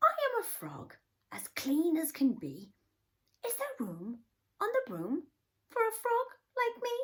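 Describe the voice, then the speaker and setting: Using a put-on character voice, a woman speaks in a croaky, extremely high pitch. She goes at a fairly slow pace with long, frequent pauses. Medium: read story.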